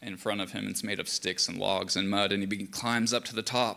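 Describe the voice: The intonation holds fairly even throughout this plain reading aloud.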